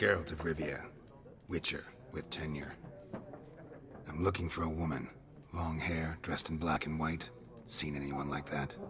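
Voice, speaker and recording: A man puts on a cartoonish character voice at a very deep, low pitch, with clear background noise behind him. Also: moderate pace. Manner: terse, deadpan.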